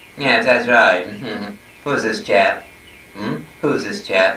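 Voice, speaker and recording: A man talks at a moderate speed in a room with audible echo and a little background noise. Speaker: acting teacher. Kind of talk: casual home tour talk with puppet demonstration. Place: home room. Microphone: old recording.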